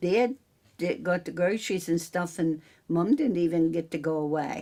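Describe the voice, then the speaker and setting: A woman with an American accent speaks at a moderate pace in a fairly low, dark and mellow voice with ordinary pitch variation. The recording is very clean with a silent background. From central Pennsylvania, near Newville. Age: 70s. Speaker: farmer and local businesswoman. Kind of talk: oral history interview. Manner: casual, halting.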